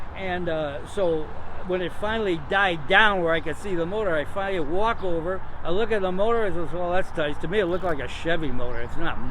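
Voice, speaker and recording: Amid noticeable background noise and audible room echo, a high-pitched man talks at a fairly quick pace with ordinary pitch variation. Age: 80s+. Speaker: classic car owner. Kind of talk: casual interview, telling stories. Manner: animated.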